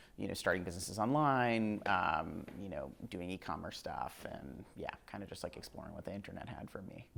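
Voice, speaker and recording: Speaking with a Northeastern US accent, a man talks at a fairly quick pace with hardly any pauses. His pitch is very deep and low, and his intonation is lively. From US Northeast, Connecticut. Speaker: startup founder. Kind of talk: interview. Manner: casual, many fillers.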